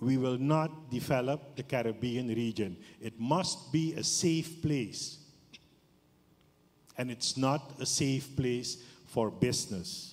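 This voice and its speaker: The pace is very slow, with long, frequent pauses. Pitch varies in an ordinary way. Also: man, medium pitch for a man. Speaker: business forum director, audience member. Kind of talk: audience question at forum. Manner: slow, halting.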